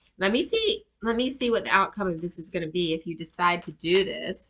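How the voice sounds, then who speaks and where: A woman with a Georgia accent speaks in a bright, sharp tone. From US South, Atlanta, Georgia. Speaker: tarot reader and life coach. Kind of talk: tarot reading.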